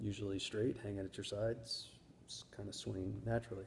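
A man talks with a fairly low pitch and a dark, mellow tone, somewhat breathy. His intonation stays fairly even over light background noise. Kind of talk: casual vlog chat. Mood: calm, matter-of-fact. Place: home room. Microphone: phone near.

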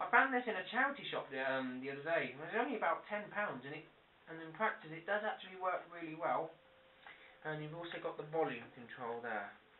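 A man talks at a fairly quick pace with big swings in loudness, over light background noise and audible room echo. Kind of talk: tutorial. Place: home room. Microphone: camera far.

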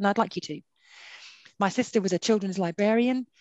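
A woman talks at a fairly quick pace with fairly even intonation. The sound is dry with no echo, over a quiet background. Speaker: director of religious resource centre; webinar speaker. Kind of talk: webinar moderation. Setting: video call. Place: home room. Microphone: headset.

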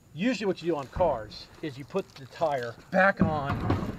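A man speaks at a fairly slow pace. The sound is dry with no echo, and background noise is noticeable. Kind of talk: tutorial. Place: garden. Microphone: phone near.

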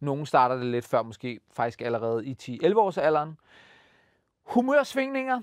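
A man speaks in an animated tone with very wide pitch swings. The sound is dry with no echo, and the background is quiet. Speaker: children's TV host. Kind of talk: casual presenting to kids. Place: studio. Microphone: lapel.

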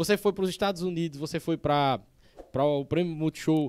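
A man speaks at a fairly quick pace with a fairly high pitch and ordinary pitch variation. He has an unremarkable speaking voice. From Northeast Brazil. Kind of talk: podcast host interview. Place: studio. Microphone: studio mic.

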